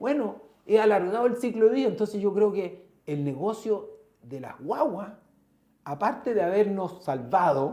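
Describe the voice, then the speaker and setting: Speaking with a Chilean accent, a man with a dark, mellow tone goes at a fairly slow pace with lively intonation. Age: 50s. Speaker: entrepreneur, company founder. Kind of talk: interview conversation.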